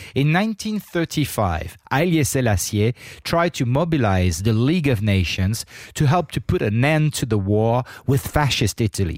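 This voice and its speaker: In a very clean recording with a silent background, a man at a medium pitch speaks at a moderate pace with very wide pitch swings, the sound dry and close with no echo. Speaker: podcast host and reporter. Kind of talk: podcast hosting, conversational interview. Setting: studio. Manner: talkative, friendly.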